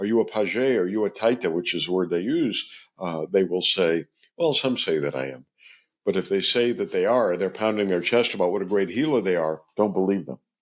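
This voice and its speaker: A man speaks at a fairly low pitch and fairly quick pace with lively intonation, a plain, everyday voice. The recording is very clean with a silent background. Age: 60s. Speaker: ethnobotanist. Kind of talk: interview.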